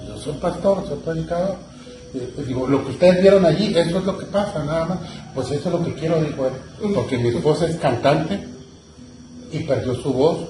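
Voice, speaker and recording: Music plays behind a man and there is audible room echo. He talks at a moderate pace in a fairly high voice with ordinary pitch variation. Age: 60s. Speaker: pastor. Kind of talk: sermon.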